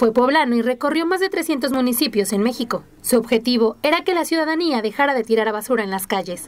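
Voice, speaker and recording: Over noticeable background noise, a woman with a high voice talks at a very fast pace with lively intonation and hardly any pauses. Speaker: news reporter. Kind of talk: TV news narration.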